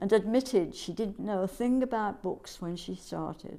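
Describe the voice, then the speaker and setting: A woman's voice has a dark, mellow tone at a medium pitch. She talks at a moderate pace. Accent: English. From England, Birmingham. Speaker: guest, immigrant retiree. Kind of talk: casual chat.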